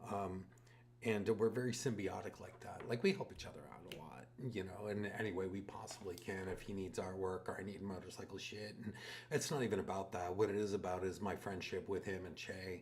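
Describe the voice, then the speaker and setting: At a fairly quick pace, a man speaks in a fairly low pitch with fairly even intonation over noticeable background noise. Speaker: tattoo artist. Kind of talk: casual chat.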